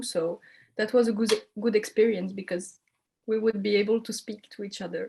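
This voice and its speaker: A woman speaks in a French accent with a fairly high pitch. Her voice is somewhat breathy. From French-speaking Belgium. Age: 20s. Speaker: communication student. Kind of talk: interview. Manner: hesitant.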